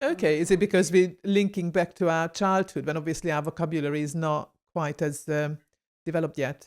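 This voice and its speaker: A woman with a Hungarian accent speaks at a fairly quick pace in a fairly low pitch and fairly even intonation. The recording is very clean with a silent background. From Hungary. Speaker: podcast host. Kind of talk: podcast interview.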